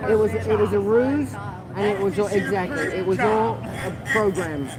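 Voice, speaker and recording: Crowd noise fills the background. The speaking pace is moderate. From London, England. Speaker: protester and livestreamer. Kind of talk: casual chat. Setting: outdoors.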